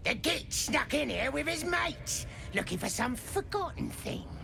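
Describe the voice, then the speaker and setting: Someone performs a put-on character voice at a moderate pace against loud background noise. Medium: video game. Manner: sneering, coarse.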